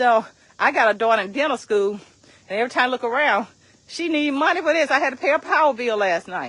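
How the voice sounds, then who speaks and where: A woman talks fairly quickly in an animated, bright and sharp tone with lively intonation. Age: 60s. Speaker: direct sales team leader and motivational coach. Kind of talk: motivational vlog talk. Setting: outdoors, walking.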